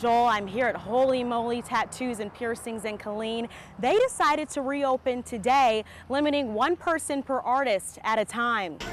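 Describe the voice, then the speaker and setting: A high-voiced woman at a moderate pace with ordinary pitch variation, amid noticeable background noise. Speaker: TV news reporter. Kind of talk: TV news report. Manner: precise.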